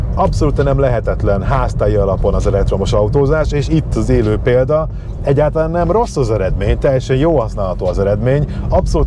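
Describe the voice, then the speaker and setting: Speaking at a very fast pace, a man comes through dry sound with no echo. Noticeable background noise sits behind him. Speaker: car reviewer. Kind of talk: car review commentary. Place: car.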